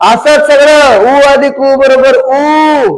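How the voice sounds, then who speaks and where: With a Marathwada accent, a man talks at an extremely high pitch. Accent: Marathwada Marathi dialect. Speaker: teacher. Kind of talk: grammar lesson for exam students. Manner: colloquial, folksy.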